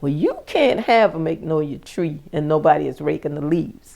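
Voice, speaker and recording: A woman at a moderate pace in a Lowcountry accent. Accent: Southern US, Lowcountry. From US South, South Carolina plantation. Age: 60s. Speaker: plantation descendant sharing memories. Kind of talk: interview storytelling. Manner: animated.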